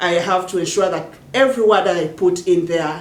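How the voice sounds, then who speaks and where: A woman with a fairly low pitch talks at a fairly slow pace with fairly even intonation. There is audible room echo and noticeable background noise. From Uganda, Luo-speaking village. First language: Jopadhola (Luo language). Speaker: poet and social activist. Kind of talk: interview monologue. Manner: halting, frequent repetitions.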